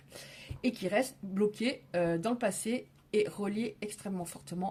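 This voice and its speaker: Here a woman speaks at medium pitch with ordinary pitch variation. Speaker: tarot card reader. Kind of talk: tarot reading. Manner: loud.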